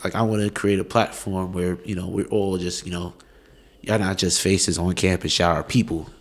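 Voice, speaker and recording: A man's very deep, low voice with an American accent at a fairly quick pace. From New York. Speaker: student podcast host. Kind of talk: casual interview chat. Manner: animated.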